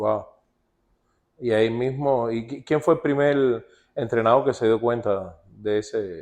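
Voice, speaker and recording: Long, frequent pauses break up a man's very slow speech, which has ordinary pitch variation. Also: medium pitch for a man. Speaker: baseball show host. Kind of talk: interview.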